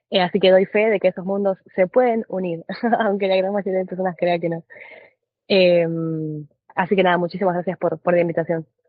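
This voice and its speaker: Flat and monotone, a woman's fairly low voice moves at a moderate pace. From Argentina. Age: 20s. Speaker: trader. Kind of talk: podcast interview.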